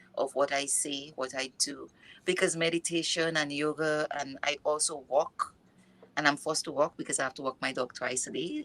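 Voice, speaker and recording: A bright, sharp tone with a non-native accent, at a moderate pace. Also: woman. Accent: noticeable non-native. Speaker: mindfulness and yoga coach. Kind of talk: interview. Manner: halting.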